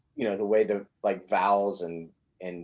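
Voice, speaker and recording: Here a man has an ordinary speaking voice with an American accent. His pitch is fairly low and his pace moderate. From Southern Indiana. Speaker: podcast host. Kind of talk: interview. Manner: casual, many fillers.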